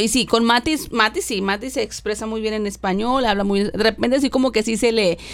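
A woman's fairly high voice, a plain, everyday voice, with ordinary pitch variation and a fairly quick pace. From Mexico, rural Tamaulipas. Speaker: podcast co-host. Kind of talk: casual chat.

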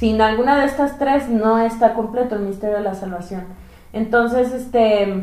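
With audible room echo, a woman speaks at a fairly slow pace, her pitch fairly high and her intonation fairly even. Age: 30s. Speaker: evangelist. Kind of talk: religious podcast conversation.

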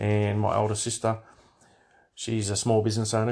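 Against a quiet background, a man with an Australian accent talks at a moderate pace in a fairly low, somewhat breathy voice. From Australia, Hunter Valley NSW. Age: middle-aged. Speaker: podcast host. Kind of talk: casual monologue. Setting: home bedroom. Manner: hesitant, many fillers.

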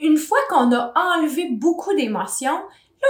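A woman speaks in a Quebec accent at a fairly slow pace. Her pitch swings very widely. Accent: Québécois French. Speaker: hypnotherapist. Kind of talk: interview.

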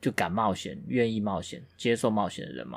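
An ordinary speaking voice from a man at medium pitch, moderate pace, very clean recording with a silent background. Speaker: podcast co-host. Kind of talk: casual chat.

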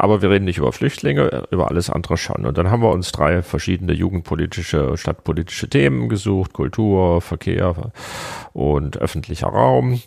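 With vocal fry and lively intonation, a man speaks at a very deep, low pitch. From Hesse, Germany. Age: 40s. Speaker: director of a political education agency. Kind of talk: interview. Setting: office.

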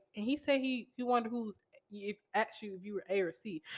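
Animated and with a bright, sharp tone, a woman talks at a fairly quick pace. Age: 20s. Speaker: podcast co-host, education student. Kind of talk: casual chat.

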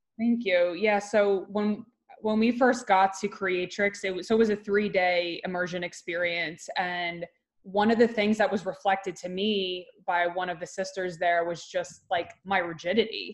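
In an unremarkable speaking voice, a woman speaks at a medium pitch and a moderate pace with fairly even intonation. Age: 30s. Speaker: wellness coach. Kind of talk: casual chat. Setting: video call.

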